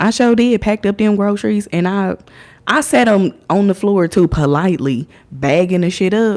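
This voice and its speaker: Speaking at a moderate pace with an American accent, a woman holds a medium pitch and very even loudness. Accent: has an accent, per others. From Indiana, US. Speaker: livestreamer. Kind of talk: casual livestream storytelling.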